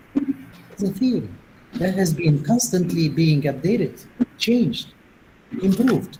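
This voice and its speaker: Pitched high for a man, this voice swings very widely in pitch. He speaks at a fairly slow pace. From Tunisia. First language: Tunisian Arabic. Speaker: linguistics professor, plenary speaker. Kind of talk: academic Q&A discussion.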